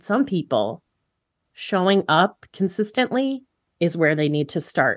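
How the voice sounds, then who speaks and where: Against a quiet background, a woman at a medium pitch and fairly slow pace, with very wide pitch swings. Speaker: vegan podcaster. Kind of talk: casual chat. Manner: smiling.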